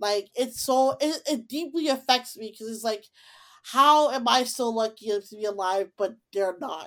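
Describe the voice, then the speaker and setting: A woman with an American accent speaks at a moderate pace in a high voice with ordinary pitch variation. Her loudness swings a lot, and the recording is very clean with a silent background. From Chicago, US Midwest. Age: 20s. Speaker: podcast host. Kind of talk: casual chat.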